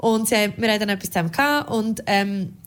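At a fairly quick pace, a woman is talking. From rural Switzerland. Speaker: radio podcast co-host. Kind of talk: casual chat.

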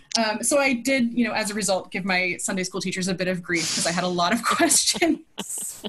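Over noticeable background noise, a woman speaks with an American accent and lively intonation. She leaves hardly any pauses. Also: medium pitch for a woman, fairly quick pace. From US Midwest, Minnesota. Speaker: pastor. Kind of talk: interview.

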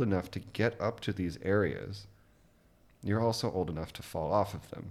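Very deep and low, this man's voice carries an American accent at a moderate pace. The recording is very clean with a silent background. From US, Louisville, Kentucky. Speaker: podcast host, music podcast. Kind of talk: casual chat.

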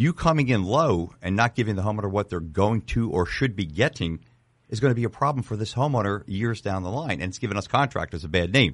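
Over a quiet background, a man talks at a very fast pace. His pitch is fairly low and his intonation lively. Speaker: contractor and podcast host. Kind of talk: casual podcast chat.

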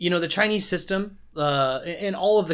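The recording is very clean, its background silent. His intonation is lively as the man speaks. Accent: West Coast. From US Pacific Northwest, Seattle. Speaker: podcast guest. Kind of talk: casual chat.

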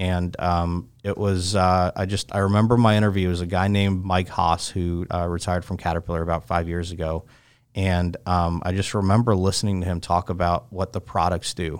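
A man with an American accent speaks at a fairly quick pace with hardly any pauses. His very deep, low voice stays monotone and flat. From North Carolina, Chapel Hill. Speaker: equipment dealer executive. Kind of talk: interview. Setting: studio. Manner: halting.

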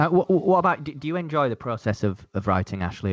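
In a Leeds accent, the speaker races along at a very fast pace with very wide pitch swings against a quiet background. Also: man. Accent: Yorkshire (Leeds) English. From northern England, Leeds. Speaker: event photographer. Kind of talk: casual interview chat. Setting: remote call across time zones.

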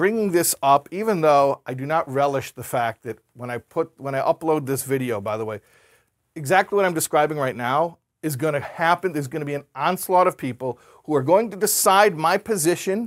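A normal speaking voice with an American accent and lively intonation at a moderate pace, very clean recording with a silent background, dry and close with no echo. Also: man, fairly high pitch for a man. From United States. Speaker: rabbi and lecturer. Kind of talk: lecture. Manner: conversational, with frequent fillers.

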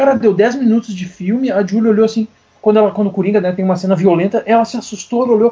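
Talking very fast, a man speaks in a high voice. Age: 40s. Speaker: comics researcher and writer. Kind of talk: casual chat. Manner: animated.

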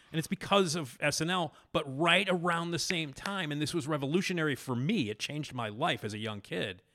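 This man has a fairly high pitch, an American accent, a bright, sharp tone, and vocal fry, speaking at a fairly quick pace. The recording is very clean with a silent background. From Chicago. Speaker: podcast host and comedy writer. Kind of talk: casual interview chat.

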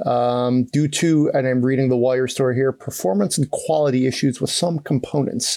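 A man's plain, everyday voice, fairly slow in pace, with fairly even intonation. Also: very clean recording, silent background. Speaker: podcast host, car journalist. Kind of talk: casual chat, podcast discussion.

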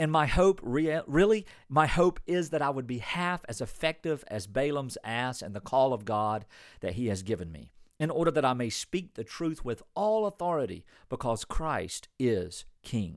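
Very wide pitch swings mark this man's speech. The recording is very clean, with a silent background. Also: medium pitch for a man, moderate pace. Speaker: pastor. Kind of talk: sermon.

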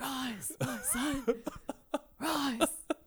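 A shaky, high-pitched put-on character voice. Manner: extremely creepy.

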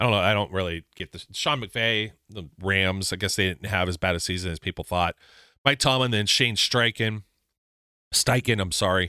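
Recorded very cleanly over a silent background, with a dry, close sound and no echo, a man with an American accent speaks at a fairly low pitch in a bright, sharp tone. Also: ordinary pitch variation, moderate pace. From US Midwest, Youngstown, Ohio. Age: 40s. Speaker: sports podcast host. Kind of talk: casual solo sports commentary.

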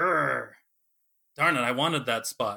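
A man speaks in a bright, sharp tone. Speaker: game developer. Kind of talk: casual interview chat.

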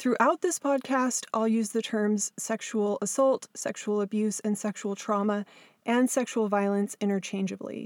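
A woman with an American accent speaks at a moderate pace and a fairly high pitch, with fairly even intonation. The recording is very clean and dry, close and without echo, over a silent background. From Southern California. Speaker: podcast host and abuse survivor author. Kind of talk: scripted narration.

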